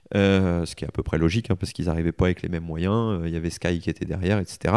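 A man with a very deep, low pitch and a dark, mellow tone is heard dry and close, with no echo. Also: very clean recording, silent background. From northern France, Aisne (Picardy). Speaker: motorcycle racer. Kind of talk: interview. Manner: hesitant, many fillers and repetitions.

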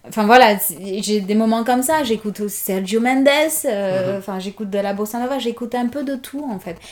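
This woman's voice is fairly high in pitch. Noticeable background noise can be heard. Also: ordinary pitch variation, moderate pace. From Guinea, Conakry. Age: 30s. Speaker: mother and podcast guest. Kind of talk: casual interview.

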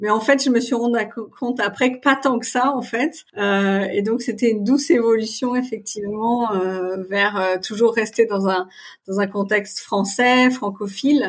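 In a very clean recording with a silent background, a woman speaks at a fairly high pitch with ordinary pitch variation. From Paris region, France. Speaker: marketing manager. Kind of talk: interview. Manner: hesitant, many fillers.

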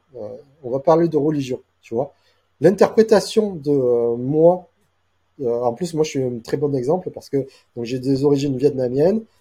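Man with a fairly high pitch and a dark, mellow tone, somewhat breathy, at a fairly slow pace with long, frequent pauses, big swings in loudness, ordinary pitch variation, and a very clean recording with a silent background. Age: 40s. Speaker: AI and SEO specialist. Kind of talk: casual interview. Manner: halting with many repetitions.

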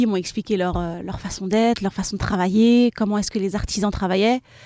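In a plain, everyday voice, a woman talks at a medium pitch and a fairly quick pace. Her intonation is fairly even, and the sound is dry and close with no echo. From France, Seine-Saint-Denis (93). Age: 30s. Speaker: e-commerce founder. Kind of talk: live podcast interview. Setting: live recording at a festival.

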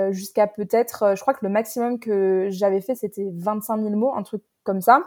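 Recorded very cleanly with a silent background, a woman speaks at a fairly slow pace in a medium pitch, her tone dark and mellow and her intonation monotone and flat. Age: 20s. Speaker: novelist. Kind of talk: interview. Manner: halting, many repetitions and fillers.

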